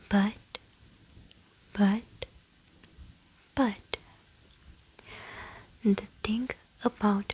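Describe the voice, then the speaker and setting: With noticeable background noise behind it, the voice is soft-spoken. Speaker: ASMR creator. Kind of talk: ASMR book reading.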